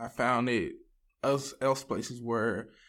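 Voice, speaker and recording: In a Southern Louisiana accent, the speaker delivers monotone, flat intonation at a fairly slow pace on a very clean recording with a silent background. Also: man. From US South, Louisiana (Ville Platte). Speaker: addiction recovery program student. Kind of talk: testimony.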